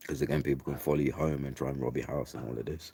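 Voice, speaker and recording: In an English accent, a man speaks with a dark, mellow tone and vocal fry. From England. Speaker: vlogger. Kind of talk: casual storytelling monologue. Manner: casual, chatty.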